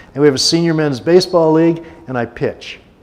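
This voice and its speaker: Noticeable background noise accompanies a man whose pitch is fairly high, delivered at a moderate pace. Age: 70s. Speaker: guest speaker at a church service. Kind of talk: sermon. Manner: conversational, with many filler words.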